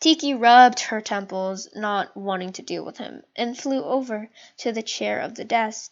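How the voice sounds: Pitch shifts in an ordinary way. The reading voice sounds natural.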